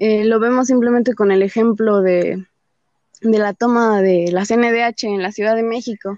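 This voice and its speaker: Delivered at a fairly slow pace with fairly even intonation, the speech has a dry, close sound with no echo. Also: woman. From Mexico, Nezahualcóyotl (State of Mexico). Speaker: feminist activist. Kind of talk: interview conversation.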